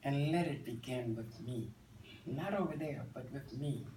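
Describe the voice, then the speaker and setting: Speaking fairly slowly with an American accent, a man with a fairly high pitch uses ordinary pitch variation amid audible room echo. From Virginia. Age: 70s. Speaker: cosmetologist and assistant minister. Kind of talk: interview.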